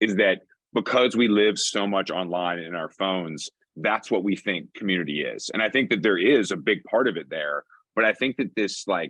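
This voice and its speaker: Man with a normal speaking voice talks at a fairly low pitch with ordinary pitch variation. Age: 40s. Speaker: brand consultant and podcast co-host. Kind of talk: panel discussion. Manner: fast, casual with many fillers.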